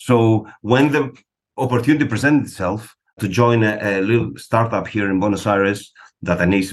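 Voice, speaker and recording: A man speaks at a fairly quick pace with a Greek accent. His pitch moves in an ordinary way over a quiet background. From Greece. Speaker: psychologist and test-prep director. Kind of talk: interview.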